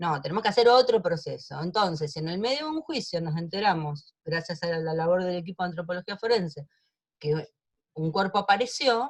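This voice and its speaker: A woman's fairly quick, somewhat breathy speech carries lively intonation. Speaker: lawyer in human rights trials. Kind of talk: online seminar talk.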